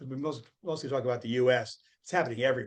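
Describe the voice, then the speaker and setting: A man with vocal fry speaks fairly quickly at a medium pitch, with ordinary pitch variation. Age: 70s. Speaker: sustainable finance summit founder. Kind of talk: interview.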